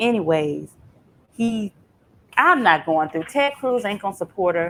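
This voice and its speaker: A woman with very wide pitch swings. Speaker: law vlogger. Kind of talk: casual commentary recap. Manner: loud; animated.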